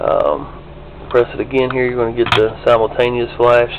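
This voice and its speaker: A man with a Kentucky accent talks at a very fast pace in a medium pitch. His intonation stays fairly even, and background noise is noticeable. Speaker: diecast model hobbyist. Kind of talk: tutorial. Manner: casual, hesitant with fillers. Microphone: cheap small still camera.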